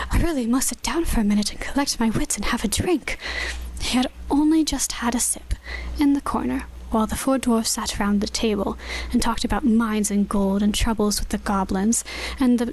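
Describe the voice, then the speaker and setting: Over noticeable background noise, a woman with a fairly high pitch and ordinary pitch variation speaks at a fairly quick pace. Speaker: ASMR audiobook reader. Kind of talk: audiobook narration.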